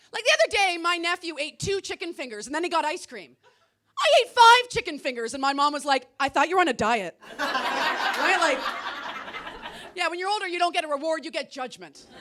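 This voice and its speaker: With a raised, projected voice, a woman talks at a fairly quick pace. Her pitch is extremely high, and her intonation is lively. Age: 40s. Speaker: stand-up comedian. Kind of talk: stand-up comedy set to a live audience.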